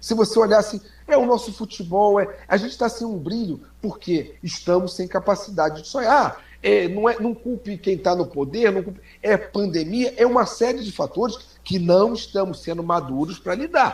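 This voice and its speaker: A man's high-pitched, animated voice at a moderate pace, with ordinary pitch variation. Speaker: social media commentator. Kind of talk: casual chat.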